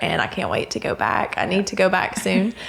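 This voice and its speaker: Against noticeable background noise, a woman with a Southern US accent speaks at a medium pitch. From US South, North Alabama. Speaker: veterinarian. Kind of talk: casual chat.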